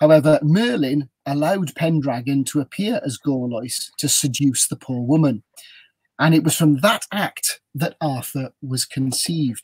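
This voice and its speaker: In a South Wales accent, a man with a fairly high, somewhat breathy voice speaks at a fairly slow pace, recorded dry and close with no echo. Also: ordinary pitch variation. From South Wales, Newport. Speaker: ghost tour guide. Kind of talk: storytelling on a live video chat. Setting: video call from a motorhome.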